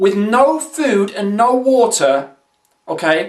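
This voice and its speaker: A man's voice pitched extremely high, with very wide swings up and down. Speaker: online video host, motivational speaker. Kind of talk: casual motivational talk to camera. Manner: very fast; animated, energetic.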